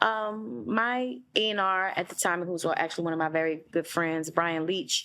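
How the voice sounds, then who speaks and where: With an American accent, a woman speaks in a bright, sharp tone, her fairly low pitch moving with ordinary variation. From US South, New Orleans. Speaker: R&B singer. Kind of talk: interview. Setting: in-person interview in London. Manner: relaxed, conversational with fillers.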